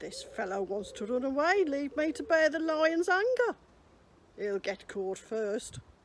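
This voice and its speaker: Someone performs a put-on character voice with very wide pitch swings at a moderate pace. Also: woman, high pitch for a woman. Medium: read story. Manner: cautious, deliberate.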